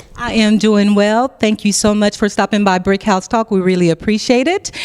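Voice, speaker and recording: A woman with a normal speaking voice talks at medium pitch and a moderate pace, her intonation fairly even, in a dry, close sound with no echo. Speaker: interview host. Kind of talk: interviewer questions.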